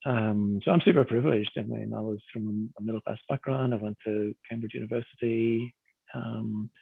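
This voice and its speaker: Fairly even intonation marks this speech, delivered at a moderate pace in a Northern Irish accent. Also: man, fairly low pitch for a man. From Northern Ireland, Belfast. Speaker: workshop participant. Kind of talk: personal testimony.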